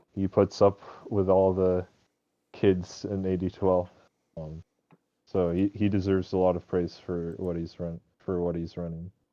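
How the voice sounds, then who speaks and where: With a very deep, low pitch and a dark, mellow tone, a man talks in a monotone, flat intonation, leaving long, frequent pauses in a dry, close sound with no echo. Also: moderate pace. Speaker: podcast guest, amateur gamer. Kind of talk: casual chat. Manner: starts quiet then gets louder.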